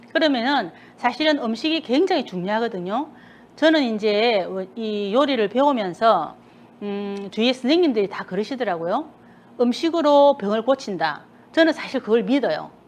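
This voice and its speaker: Speaking in a Busan accent, a woman with fairly high pitch and lively intonation keeps a moderate pace. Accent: Gyeongsang (Busan) dialect. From South Korea, Busan. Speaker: cooking instructor. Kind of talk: cooking class talk. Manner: casual chatty.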